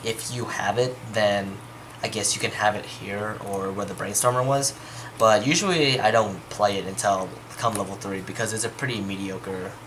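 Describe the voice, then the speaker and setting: A man's voice comes through noticeable background noise, moving at a moderate pace. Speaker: card game deck reviewer. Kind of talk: casual deck tech explanation to camera.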